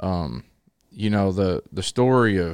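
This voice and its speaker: Against a silent background in a very clean recording, a man with a Southern US accent speaks with ordinary pitch variation. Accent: US South. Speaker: preacher. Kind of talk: casual chat. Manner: loud.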